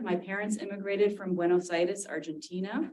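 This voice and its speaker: Here is a woman speaking with a Californian accent. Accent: General American (California). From San Diego, California. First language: Spanish. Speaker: university dean and professor. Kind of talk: talk to retirees association.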